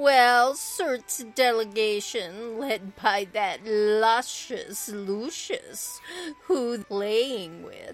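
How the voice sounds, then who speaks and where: Over faint background music, a put-on character voice that sounds female moves at a very slow pace and a fairly high pitch. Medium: actual play.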